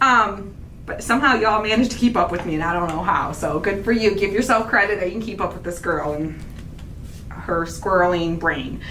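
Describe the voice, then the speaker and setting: A woman talks at a fairly quick pace, medium in pitch with ordinary pitch variation. Audible room echo and noticeable background noise surround her voice. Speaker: craft channel host. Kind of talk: casual chat. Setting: livestream. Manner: fast; animated.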